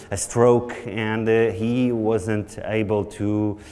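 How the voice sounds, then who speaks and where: Monotone, flat delivery from a man in a Portuguese accent, with audible room echo and noticeable background noise. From Portugal. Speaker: nutrition researcher. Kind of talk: conference lecture.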